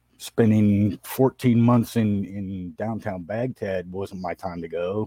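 Against a quiet background, a man with an American accent talks at a fairly low pitch in a dark, mellow tone, with fairly even intonation and a dry, close sound with no echo. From Southern California. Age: 40s. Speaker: hardscaping business owner. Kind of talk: interview. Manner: halting.

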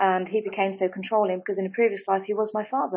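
A woman's medium-pitched voice with an English accent. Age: 40s. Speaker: life coach. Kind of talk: casual chat.

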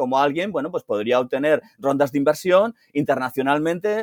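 In a normal speaking voice, a man talks at a fairly quick pace with lively intonation, the sound dry and close with no echo. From Spain, Alicante. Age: 50s. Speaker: DeFi analyst and former banker. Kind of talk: interview.

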